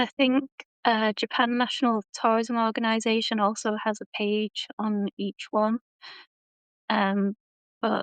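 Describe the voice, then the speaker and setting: Over a quiet background, a woman with a British accent speaks in a fairly high pitch at a very slow pace. Her intonation is monotone and flat, and the sound is dry and close with no echo. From Britain. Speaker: tourism designer. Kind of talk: interview podcast. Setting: live stream.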